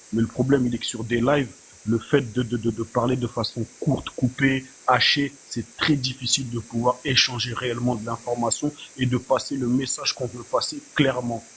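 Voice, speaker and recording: Against noticeable background noise, a man speaks at a moderate pace in a medium pitch with monotone, flat intonation. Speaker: panelist. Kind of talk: heated debate. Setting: online live panel.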